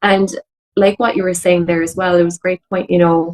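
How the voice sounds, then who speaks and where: With an Irish accent, a woman speaks at a moderate pace and a medium pitch. Her intonation is fairly even, and the sound is dry and close with no echo. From Ireland. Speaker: empowerment mentor and coach. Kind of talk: podcast interview.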